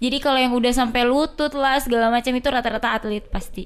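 Very fast speech with fairly even intonation comes through on a very clean recording with a silent background. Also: woman. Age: 20s. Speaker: basketball club administrator and player. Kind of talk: casual chat.

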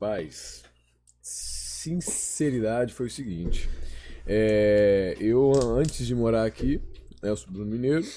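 Leaving long, frequent pauses, a man speaks at a very slow pace. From Belo Horizonte, Minas Gerais, Brazil. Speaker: event producer. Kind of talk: casual chat.

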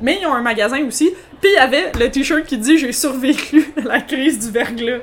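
A woman talks with a Quebec accent at a high pitch and a moderate pace. Her pitch variation is ordinary, and there is noticeable background noise. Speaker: podcast co-host. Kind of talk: casual chat, gin tasting.

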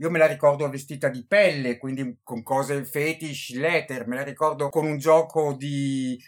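The background is silent on this very clean recording. The delivery keeps a moderate pace. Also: man. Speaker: podcast host, book reviewer. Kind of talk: casual interview. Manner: halting; animated.

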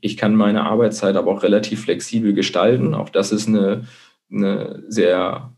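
At a moderate pace, a man speaks in a dark, mellow tone at a fairly low pitch. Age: 30s. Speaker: blogger and marketing manager. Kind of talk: interview. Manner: hesitant, many filler sounds. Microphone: connection dropped out briefly.

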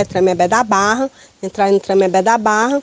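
A woman speaks at a medium pitch with fairly even intonation. The sound is dry and close with no echo, over noticeable background noise. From Ceará, Brazil (Itapipoca). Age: 50s. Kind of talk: interview.

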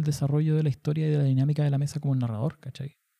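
A man's somewhat breathy, fairly high-pitched voice with a dark, mellow tone, in dry, close sound with no echo. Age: 30s. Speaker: podcast host. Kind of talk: casual chat. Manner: halting.

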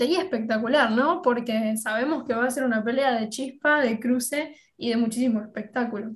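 A high-pitched woman's voice with an Argentine accent, at a moderate pace. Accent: Argentine Spanish (Rioplatense). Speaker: podcast co-host. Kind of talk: interview.

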